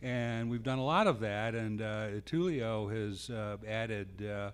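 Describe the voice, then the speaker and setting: There is audible room echo as a man speaks at a very slow pace in a fairly low pitch. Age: 70s. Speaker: panel moderator. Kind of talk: panel discussion. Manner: halting, many fillers.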